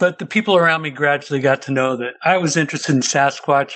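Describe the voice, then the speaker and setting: Speaking in a Pacific Northwest accent, a man uses a fairly high pitch with ordinary pitch variation. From US Pacific Northwest, Seattle. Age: 60s. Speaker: interview guest telling a sighting story. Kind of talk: personal testimony.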